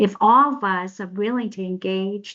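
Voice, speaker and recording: A woman speaks with a non-native accent at a medium pitch. Her pace is moderate. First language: not English. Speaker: professor and social worker. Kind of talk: presentation. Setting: video call. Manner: halting.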